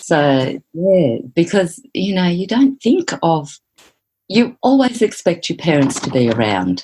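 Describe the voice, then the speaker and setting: Speaking at a very slow pace in an Australian accent, a woman uses a fairly low pitch and a dark, mellow tone, with very wide pitch swings. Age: 60s. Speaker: psychotherapist. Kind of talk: interview.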